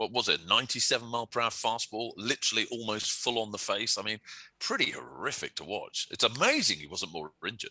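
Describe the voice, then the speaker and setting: A man with a bright, sharp tone and vocal fry speaks at a very fast pace. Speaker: baseball podcast co-host. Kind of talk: casual chat.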